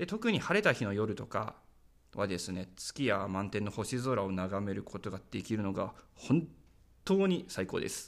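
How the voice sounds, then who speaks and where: On a very clean recording with a silent background, a man uses an ordinary speaking voice at a fairly slow pace with ordinary pitch variation. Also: fairly low pitch for a man. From Saitama, Japan. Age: 20s. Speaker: podcast host, rural community volunteer. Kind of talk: solo podcast monologue.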